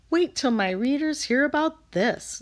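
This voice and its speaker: In a very clean recording with a silent background, a woman uses a put-on character voice, talking at a moderate pace with lively intonation and a high pitch. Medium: read story.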